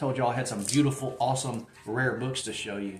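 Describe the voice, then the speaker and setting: A man in a Southern accent at a moderate pace, with music in the background and audible room echo. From Mississippi. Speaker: book collector and booktuber. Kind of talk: casual book haul video. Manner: animated.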